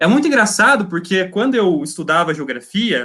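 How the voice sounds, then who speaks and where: A man with a high pitch raises and projects his voice, his tone bright and sharp and his pitch swinging very widely. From Paraná, Brazil (Laranjeiras do Sul). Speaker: geology master's student. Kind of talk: casual interview chat.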